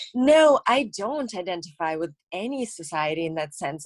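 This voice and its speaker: A woman speaks with a slight Russian accent. The sound is dry and close, with no echo. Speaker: actress, model and comedian. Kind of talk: casual interview chat.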